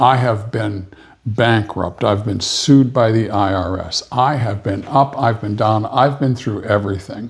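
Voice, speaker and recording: A man talks at a fairly slow pace while noticeable background noise is heard. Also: medium pitch for a man, fairly even intonation. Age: 70s. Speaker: podcast co-host. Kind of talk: casual chat.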